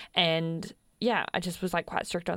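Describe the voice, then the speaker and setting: An Australian accent comes through. The voice belongs to a woman. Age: 20s. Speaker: podcast host, freelancer. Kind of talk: casual chat.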